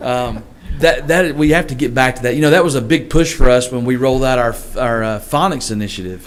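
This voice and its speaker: Through audible room echo and noticeable background noise, a man with a Southern accent speaks at a fairly quick pace in a medium pitch with ordinary variation. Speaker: school superintendent. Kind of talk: board meeting discussion.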